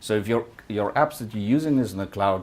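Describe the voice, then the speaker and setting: Speech comes at a fairly quick pace. A non-native accent is present. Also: man. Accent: noticeable foreign. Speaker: tech company executive. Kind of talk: conference talk. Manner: halting, many fillers.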